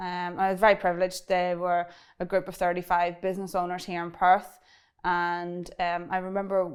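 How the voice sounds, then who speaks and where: In a very clean recording with a silent background, a woman with a strong Irish accent speaks at a fairly quick pace in a fairly low pitch with monotone, flat intonation. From Ireland. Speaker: cybersecurity business owner. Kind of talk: interview. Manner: fast; halting.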